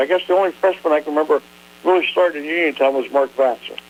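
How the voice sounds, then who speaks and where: Against noticeable background noise, a man with an American accent talks very fast at a fairly high pitch. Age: 70s. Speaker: hall of fame president. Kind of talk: phone interview. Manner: halting.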